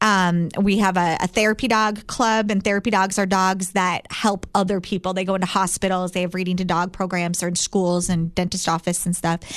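A woman speaks at a medium pitch in a flat, monotone delivery. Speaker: dog trainer business owner. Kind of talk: casual interview chat.

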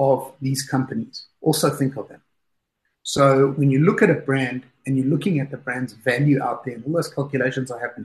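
A man with a fairly high, somewhat breathy voice talks at a moderate pace. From South Africa. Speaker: fund manager. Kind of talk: interview.

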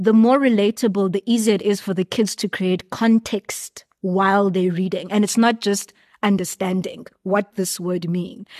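A woman with an unremarkable speaking voice talks at a moderate pace in medium pitch, using fairly even intonation and hardly any pauses, in a dry, close sound with no echo and a quiet background. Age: 30s. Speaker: children's book author. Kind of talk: casual interview. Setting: book fair.

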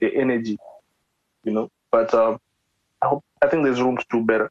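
This man has a medium pitch and speaks at a moderate pace. The sound is dry and close, with no echo. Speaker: podcast host interviewing a musician. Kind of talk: casual interview chat.

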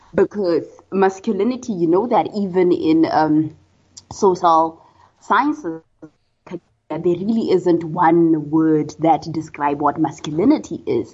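A woman with a Botswana accent speaks fairly slowly in a fairly low pitch, with ordinary pitch variation. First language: Setswana. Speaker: social psychology researcher. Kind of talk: interview.

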